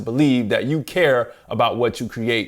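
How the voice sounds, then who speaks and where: There's a relaxed tone and lively intonation in this man's voice. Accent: Southern US. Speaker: music business coach and YouTuber. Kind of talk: tutorial-style talk to camera. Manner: relaxed, conversational.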